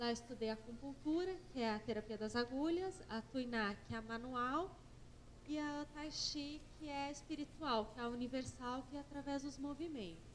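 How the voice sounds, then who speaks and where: A soft-spoken, high-pitched woman in audible room echo. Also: ordinary pitch variation, moderate pace. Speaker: acupuncturist and therapist lecturer. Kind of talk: conference lecture. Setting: conference stage with audience.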